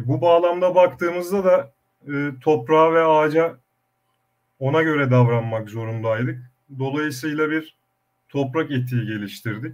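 At a moderate pace broken by long, frequent pauses, a man with a fairly high pitch speaks with ordinary pitch variation. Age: young. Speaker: olive oil producer, former food engineer. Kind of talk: online panel discussion.

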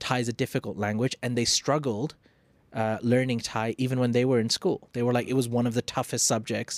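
A man at a medium pitch and moderate pace in a flat monotone, with a dry, close sound with no echo and a very clean recording with a silent background. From Thailand, Phuket. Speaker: podcast host. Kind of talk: casual chat. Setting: studio.

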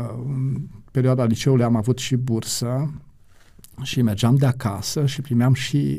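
The voice is dark, mellow and somewhat breathy, moving at a fairly slow pace. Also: man. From Romania, Satu Mare county. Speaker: pastor and publishing director. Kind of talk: interview, life story.

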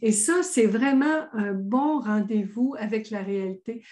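A woman speaks at a fairly high pitch with a somewhat breathy, dark, mellow tone. Her pitch varies in an ordinary way, and the background is quiet. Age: 60s. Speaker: author, thought coach and speaker. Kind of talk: interview. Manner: animated.

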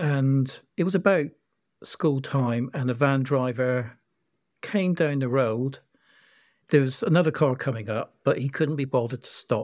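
Speaking at a fairly slow pace, a man with an unremarkable speaking voice uses a medium pitch and ordinary pitch variation. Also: very clean recording, silent background. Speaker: community member and campaigner. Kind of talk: casual interview.

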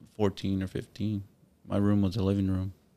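A man with an American accent talks at a very fast pace. His dark, mellow voice stays monotone and flat. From Corpus Christi, Texas. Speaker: photographer and videographer business owner. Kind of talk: casual chat.

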